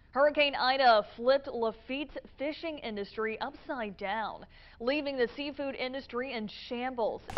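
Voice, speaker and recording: A woman with a high voice talks at a moderate pace, with ordinary variation in pitch. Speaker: TV news anchor and reporter. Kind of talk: TV news anchor read.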